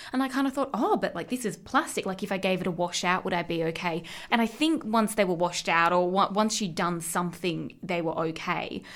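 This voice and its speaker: With an Australian accent, a woman talks at a fairly quick pace, her medium pitch carried by lively intonation. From Australia, Central West New South Wales. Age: 20s. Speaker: podcast co-host. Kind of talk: casual chat.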